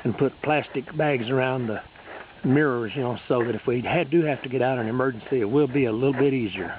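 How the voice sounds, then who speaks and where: A man speaks at a very fast clip in a medium pitch, his intonation fairly even, with noticeable background noise behind him. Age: 60s. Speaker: amateur video maker. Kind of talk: casual video narration. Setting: outdoors.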